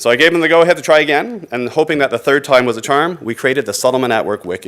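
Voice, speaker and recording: Lively in intonation, a man speaks at a very fast pace. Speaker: conference presenter. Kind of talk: conference presentation.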